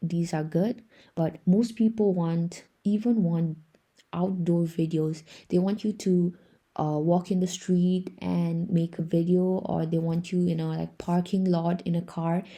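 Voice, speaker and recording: A woman with a somewhat breathy, dark, mellow tone speaks fairly slowly at a fairly low pitch with fairly even intonation, in a very clean recording with a silent background. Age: young. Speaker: freelancer tutorial creator. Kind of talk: tutorial. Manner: casual.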